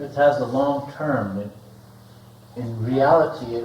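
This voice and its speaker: Amid noticeable background noise and audible room echo, a man talks at a medium pitch with ordinary pitch variation. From US Great Plains, Lakota Sioux. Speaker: spiritual teacher. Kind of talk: seminar talk with interpreter. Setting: seminar room.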